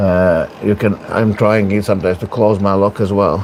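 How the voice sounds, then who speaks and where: A man in a Latvian accent speaks at a moderate pace and a fairly low pitch, with noticeable background noise. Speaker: arm wrestler streaming his training. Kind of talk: livestream training commentary. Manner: casual, hesitant with fillers.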